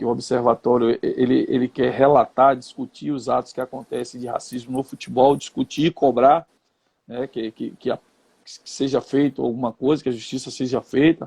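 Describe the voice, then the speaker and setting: In a monotone, flat delivery, a man of medium pitch with a dark, mellow tone and vocal fry speaks at a moderate pace with big swings in loudness, the sound dry and close with no echo. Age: 50s. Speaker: retired footballer and coach. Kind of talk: interview.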